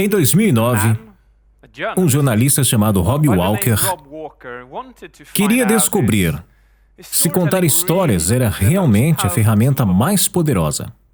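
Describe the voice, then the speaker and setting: Medium-pitched male voice, fairly slow, with very wide pitch swings, very even loudness and long, frequent pauses. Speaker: voice-over artist. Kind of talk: dubbed talk narration.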